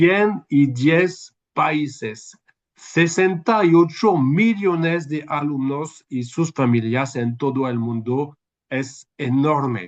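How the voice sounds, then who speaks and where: Speaking very slowly, a man talks with a French accent. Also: fairly high pitch for a man. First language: French (speaking Spanish). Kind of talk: webinar talk. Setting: video call. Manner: halting.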